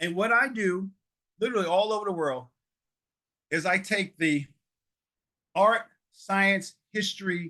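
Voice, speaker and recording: A man with a New York accent projects a raised voice in a high pitch, with a bright, sharp tone. His delivery is animated and fairly slow, broken by long, frequent pauses. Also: ordinary pitch variation. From New York (Harlem). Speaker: public speaking trainer, storyteller. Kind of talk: workshop talk.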